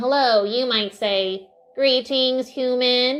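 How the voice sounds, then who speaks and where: A female-sounding voice puts on a character voice, pitched high and delivered at a very slow pace. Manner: playful.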